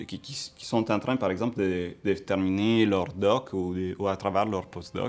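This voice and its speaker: A man with an Italian accent speaks at a fairly low pitch and a fairly slow pace, with fairly even intonation. He hardly pauses, and the recording is very clean with a silent background. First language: Italian (speaking French). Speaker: entrepreneur and researcher. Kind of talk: interview answers. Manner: hesitant, many fillers.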